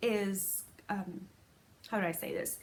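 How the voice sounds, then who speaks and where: Very slowly, a woman speaks in a somewhat breathy voice. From Puerto Rico. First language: Spanish. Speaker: crochet podcaster. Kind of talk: casual podcast chat.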